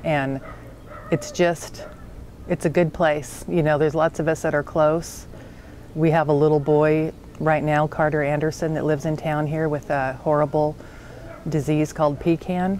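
A woman's very deep, low voice at a moderate pace, monotone and flat, with long, frequent pauses, dry sound with no echo and light background noise. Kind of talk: interview answer. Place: garden.

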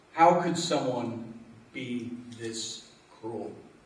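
A man talks with ordinary pitch variation. There is audible echo from the room. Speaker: deacon. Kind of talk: homily-style speech. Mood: earnest, grave. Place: hall. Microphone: podium.

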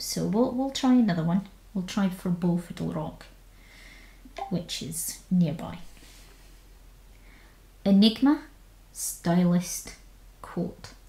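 With a Scottish accent, a woman speaks at a very slow pace, leaving long, frequent pauses. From Scotland. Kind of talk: casual talk while screen recording.

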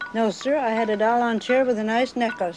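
Music in the background behind a woman's speech. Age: 80s+. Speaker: folk artist. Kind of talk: casual documentary interview. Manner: lively, witty. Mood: chatty, humorous reminiscing.

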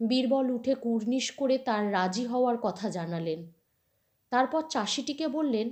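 A woman with a high pitch and very wide pitch swings is heard on a very clean recording with a silent background. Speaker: storyteller. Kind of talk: reading aloud.

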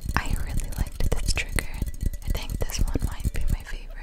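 Whispering softly, a woman talks at a fairly quick pace. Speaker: ASMR creator. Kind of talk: soft casual ASMR chat. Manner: soft close-mic ASMR whisper. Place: home room. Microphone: studio mic.

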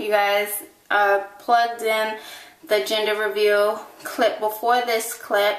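A woman with a fairly high pitch speaks at a very slow pace. Noticeable background noise and audible room echo fill the recording. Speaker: vlogger. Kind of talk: casual vlog monologue. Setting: in a car.

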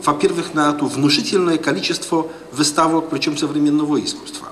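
A man speaks over light background noise. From Poland. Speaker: diplomat and professor; professor. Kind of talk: panel discussion. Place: hall. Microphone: handheld.

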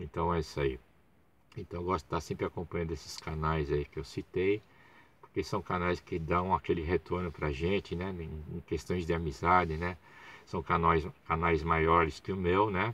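Very deep and low in pitch, a man's voice comes at a moderate pace with fairly even intonation and a dry sound with no echo. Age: 60s. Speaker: YouTuber, football fan channel host; small channel host. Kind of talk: casual live stream monologue. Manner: halting, many fillers. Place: car. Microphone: phone near.

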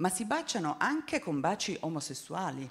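Against a quiet background, a woman speaks at a fairly low pitch with very wide pitch swings. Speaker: author. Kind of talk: panel discussion. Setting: stage with audience. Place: hall. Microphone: handheld.

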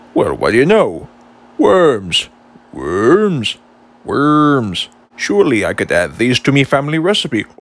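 Doing a cartoonish character voice, a man speaks at a fairly high pitch with long, frequent pauses. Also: fairly slow pace. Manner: chatty, fussy, easily flustered.

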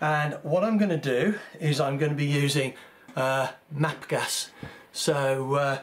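A man talks at a very slow pace. Light background noise sits behind him. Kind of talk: tutorial. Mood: relaxed, slightly apologetic. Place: workshop.

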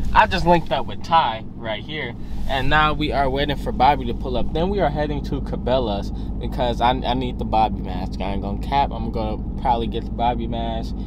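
Loud background noise surrounds a man talking fairly quickly. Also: dry sound with no echo. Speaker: vlogger. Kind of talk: casual vlog chat. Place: car. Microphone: phone near.

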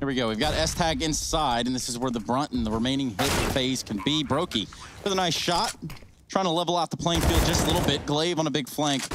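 Amid noticeable background noise, a man with a fairly high pitch talks fairly quickly with lively intonation. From Alabama. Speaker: esports commentator. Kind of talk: live commentary.

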